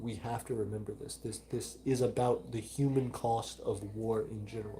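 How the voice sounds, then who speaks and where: In a Southern US accent, a man talks with monotone, flat intonation. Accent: mild Southern. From US South, Alabama. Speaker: micronation livestream host. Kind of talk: live stream chat reading. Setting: live stream.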